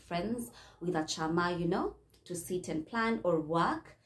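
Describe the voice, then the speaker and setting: A woman with a fairly low pitch and ordinary pitch variation. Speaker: channel host. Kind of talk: casual vlog chat. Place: home room.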